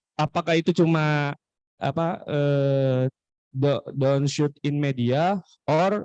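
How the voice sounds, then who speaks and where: A man with a fairly high pitch and a dark, mellow tone speaks in fairly even intonation, the sound dry and close with no echo. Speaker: student asking a question at a seminar. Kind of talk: audience question. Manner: halting, many hesitations.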